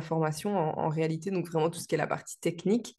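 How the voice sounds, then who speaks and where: In a monotone, flat intonation, a woman speaks at a fairly low pitch. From Belgium. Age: 20s. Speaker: vlogger, virtual assistant. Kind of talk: casual vlog introduction. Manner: hesitant, frequent fillers.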